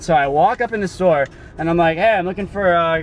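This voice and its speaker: Noticeable background noise sits behind this man's voice. He has a high pitch and talks at a very fast pace. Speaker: vlogger, delivery driver. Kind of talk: casual video diary. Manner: loud, yelling.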